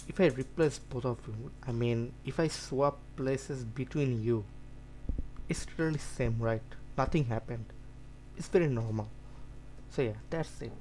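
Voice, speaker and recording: A man with a non-native accent speaks with long, frequent pauses. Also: moderate pace. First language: not English. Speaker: student tutor. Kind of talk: lecture. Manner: halting.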